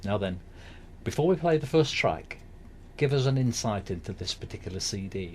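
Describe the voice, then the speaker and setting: Pausing long and often, a man speaks in a somewhat breathy voice with very wide pitch swings. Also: medium pitch for a man, moderate pace. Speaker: show host. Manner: upbeat.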